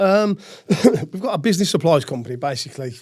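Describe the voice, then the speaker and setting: Spoken with a slight Brummie accent, the recording is very clean, with a silent background. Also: man. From Birmingham, England. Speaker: retired footballer and businessman. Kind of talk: interview. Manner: halting, many fillers.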